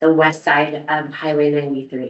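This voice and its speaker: A woman speaks at a fairly slow pace in a very deep, low pitch. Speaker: public commenter. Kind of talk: public comment at meeting. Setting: public meeting.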